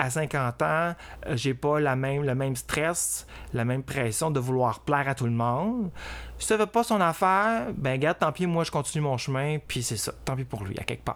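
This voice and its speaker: A man speaks in a Quebec accent at a moderate pace, fairly high in pitch with lively intonation. The recording is very clean, with a silent background. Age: 50s. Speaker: drag performer. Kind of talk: interview testimony. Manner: hesitant, with many fillers.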